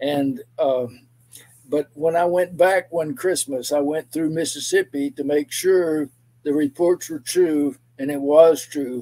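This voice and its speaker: With a Texan accent, a man speaks very slowly at a fairly high pitch in a dark, mellow tone, his intonation fairly even and the sound dry and close with no echo. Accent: Texan Southern US. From East Texas. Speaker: pastor and civil rights activist. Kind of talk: interview testimony. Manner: halting.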